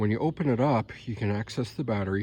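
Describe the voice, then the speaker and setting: Speaking at a fairly quick pace, a man with a fairly low pitch shows vocal fry. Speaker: ebike owner reviewing his bike. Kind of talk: casual talk to camera. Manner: hesitant, stammering.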